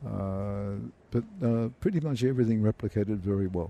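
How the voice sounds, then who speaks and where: With an Australian accent, a man speaks at a fairly slow pace in a fairly low, dark, mellow tone with ordinary pitch variation. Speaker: accounting professor. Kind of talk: interview.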